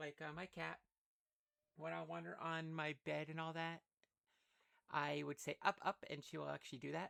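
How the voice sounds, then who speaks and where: The speech is quiet and comes at a moderate pace. Long pauses interrupt it frequently. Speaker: streamer playing a roleplay game. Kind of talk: casual live-stream chat.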